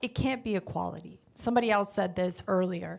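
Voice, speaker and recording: At a moderate pace and with fairly even intonation, the speech comes through on a very clean recording with a silent background. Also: woman. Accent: Spanish. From Honduras. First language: Spanish. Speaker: car dealership manager. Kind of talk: panel discussion. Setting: stage with audience.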